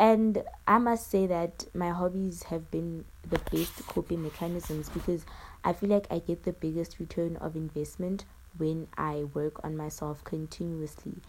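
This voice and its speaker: A woman speaks at a moderate pace in a fairly low pitch. She has an ordinary speaking voice with fairly even intonation. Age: 20s. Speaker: podcaster. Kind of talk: casual solo monologue. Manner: rambling, self-correcting.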